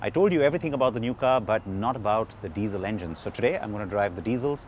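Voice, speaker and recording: A man talks at a very fast pace. He has an Indian accent. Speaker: car reviewer. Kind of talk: video review presentation.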